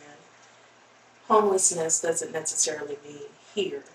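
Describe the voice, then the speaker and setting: A woman speaks with an American accent. Background noise is noticeable. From rural North Carolina. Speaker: teacher and social worker. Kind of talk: interview. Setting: podcast.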